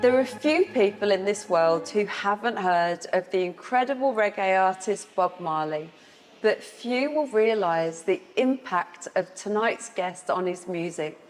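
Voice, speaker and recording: A woman of medium pitch speaks at a fairly slow pace with ordinary pitch variation over noticeable background noise. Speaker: TV show host. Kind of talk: TV show intro narration.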